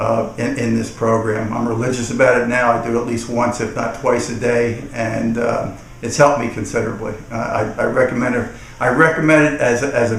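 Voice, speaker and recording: The speech moves at a fairly quick pace with fairly even intonation, accompanied by audible room echo and noticeable background noise. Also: man. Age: 60s. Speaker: customer giving a product testimonial. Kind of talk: testimonial. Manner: halting, many repetitions and fillers.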